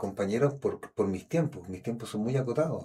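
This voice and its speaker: Talking at a fairly quick pace, a man with a Chilean accent has a dark, mellow tone. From Chile, Santiago. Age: 50s. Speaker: schoolteacher, actor and storyteller. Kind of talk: interview. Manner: halting, with repetitions.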